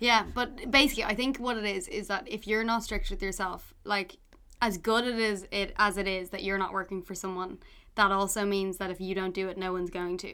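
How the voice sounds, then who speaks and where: In a very clean recording with a silent background, a woman with a Dublin accent speaks fairly quickly at a medium pitch, her tone bright and sharp and her intonation fairly even. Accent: Irish (Dublin). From Ireland, Dublin. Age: 20s. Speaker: food writer and cookbook author. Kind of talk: casual chat.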